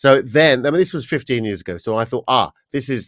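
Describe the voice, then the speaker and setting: A man with an English accent speaks at a medium pitch and a moderate pace. The sound is dry and close, with no echo. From England, Estuary. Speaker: voice coach and singer. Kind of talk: podcast interview. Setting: podcast.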